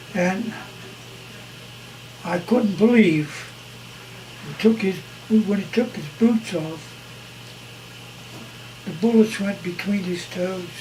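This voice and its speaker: A man with a high voice talks at a very slow pace with long, frequent pauses, his loudness swinging widely while his pitch varies in an ordinary way, over noticeable background noise. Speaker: war veteran. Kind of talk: interview answer. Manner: casual, halting.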